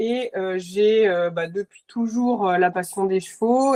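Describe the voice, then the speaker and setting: A woman at medium pitch talks at a fairly slow pace with ordinary pitch variation, a dark, mellow tone, and a dry, close sound with no echo. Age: 30s. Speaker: nurse and horse boarding owner. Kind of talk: podcast interview. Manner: halting, many fillers.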